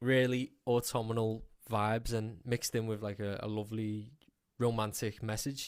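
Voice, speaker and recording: Heard on a very clean recording with a silent background, a man with a Scouse accent speaks at medium pitch in monotone, flat intonation. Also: moderate pace. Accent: Scouse (Liverpool English). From England, Liverpool. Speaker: country music singer. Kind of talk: radio interview.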